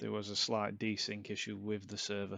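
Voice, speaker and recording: A man with a Yorkshire accent speaks at a fairly low pitch. The background is quiet. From Yorkshire, northern England. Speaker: sim racing commentator. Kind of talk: live commentary. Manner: monotone.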